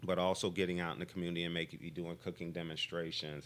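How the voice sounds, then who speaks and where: A man speaks in a very deep, low pitch with monotone, flat intonation. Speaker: physician. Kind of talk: interview. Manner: fast; halting, many fillers.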